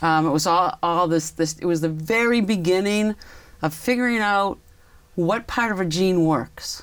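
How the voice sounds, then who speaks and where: In a plain, everyday voice with an American accent, a woman speaks at medium pitch with ordinary pitch variation and very even loudness. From Massachusetts, Lexington. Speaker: town councillor. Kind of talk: interview.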